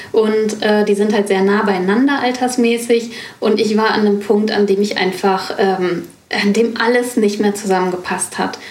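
Against noticeable background noise and audible room echo, a woman speaks at a moderate pace with a fairly high pitch, fairly even intonation and very even loudness. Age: 40s. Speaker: business mentor. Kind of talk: interview conversation.

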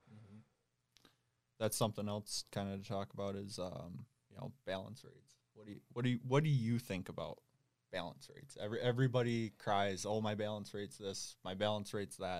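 A man's unremarkable speaking voice, fairly low in pitch, at a fairly quick pace with ordinary pitch variation and big swings in loudness. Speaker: diesel field technician. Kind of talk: casual shop chat.

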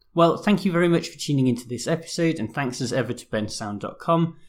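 A somewhat breathy man speaks with lively intonation on a very clean recording with a silent background. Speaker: podcast host. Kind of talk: scripted commentary podcast.

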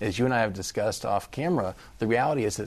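Here is a man with a medium pitch and a plain, everyday voice. His intonation is lively, over a quiet background. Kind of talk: news interview.

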